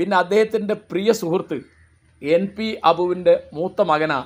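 A man's voice, high in pitch, with ordinary pitch variation. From Kerala, Kozhikode district (Mukkam area); Kerala. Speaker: writer and commentator; commentator. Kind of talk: monologue talk. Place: garden.

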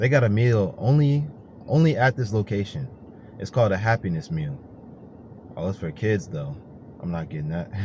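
A man with a fairly low pitch talks at a moderate pace, his voice making very wide pitch swings with long, frequent pauses. The sound is dry with no echo, over light background noise. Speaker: vlogger. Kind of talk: casual vlog chat. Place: car. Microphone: phone near.

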